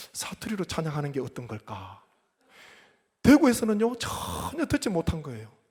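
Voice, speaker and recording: Vocal fry runs through a man's fairly quick speech, his pitch swinging very widely. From South Korea, Gyeongsang (Gyeongbuk Gyeongsan). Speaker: pastor. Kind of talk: sermon.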